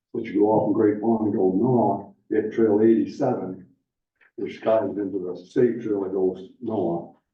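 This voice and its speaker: With audible room echo, a man of fairly low pitch speaks at a fairly slow pace with fairly even intonation. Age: 70s. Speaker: snowmobile club volunteer. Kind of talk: public meeting remarks.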